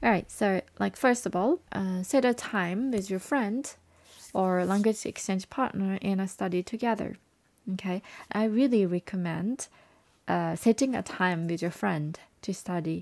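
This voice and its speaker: A woman of medium pitch speaks fairly slowly with a Japanese accent and ordinary pitch variation in a very clean recording with a silent background. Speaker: language learning advisor and English coach. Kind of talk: podcast monologue.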